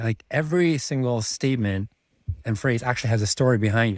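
The recording is very clean with a silent background as a man speaks at a medium pitch with lively intonation. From Czech Republic. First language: Czech. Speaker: MBA student and finance professional. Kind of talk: casual interview.

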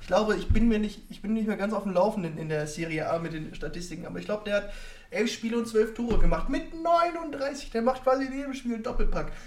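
Amid noticeable background noise and audible room echo, a man speaks very fast at a high pitch with very wide pitch swings. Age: 20s. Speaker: podcast host. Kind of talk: casual chat. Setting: live podcast recording.

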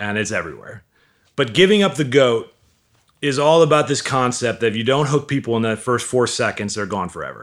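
At a fairly quick pace, a man with a normal speaking voice speaks in a medium pitch with lively intonation. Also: very clean recording, silent background. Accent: American. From US Midwest, Milwaukee. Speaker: digital marketing entrepreneur, author. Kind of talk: casual interview chat.

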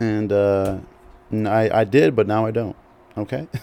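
This is a man with a fairly low voice, captured in a very clean recording against a silent background. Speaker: podcast host. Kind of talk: solo podcast monologue, casual. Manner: casual, rambling, hesitant with fillers; self-deprecating, humorous.

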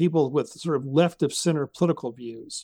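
With an American accent, a man speaks at a fairly quick pace in a dark, mellow tone, the sound dry and close with no echo on a very clean recording with a silent background. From US South, Jackson, Mississippi. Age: 60s. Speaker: civic organizer and author. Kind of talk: interview conversation.

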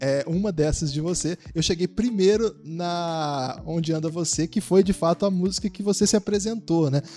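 A man's high-pitched voice with a dark, mellow tone and a Brazilian accent, at a moderate pace with ordinary pitch variation. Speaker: podcast host. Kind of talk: casual chat.

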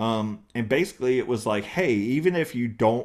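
In a very clean recording with a silent background, a man with a Southern US accent speaks at a fairly slow pace with lively intonation. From US South, East Texas and eastern North Carolina. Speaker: comedian. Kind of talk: interview. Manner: hesitant, many fillers.

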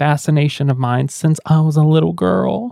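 A man with an Indiana accent at a fairly quick pace. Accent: Indiana country twang. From US Midwest. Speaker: podcast co-host. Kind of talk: casual chat.

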